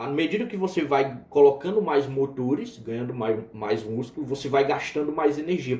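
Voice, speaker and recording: Audible room echo surrounds a man speaking at a moderate pace in a dark, mellow, somewhat breathy tone with lively intonation. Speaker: biochemistry teacher. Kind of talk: lecture. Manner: casual, with fillers and restarts.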